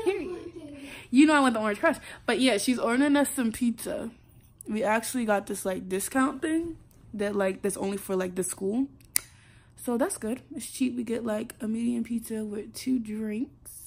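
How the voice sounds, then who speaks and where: A woman speaks with an American accent at a moderate pace. Her pitch is fairly high, with ordinary variation. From South Carolina. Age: young. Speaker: college freshman. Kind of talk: casual vlog talk to camera. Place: home room. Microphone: phone near.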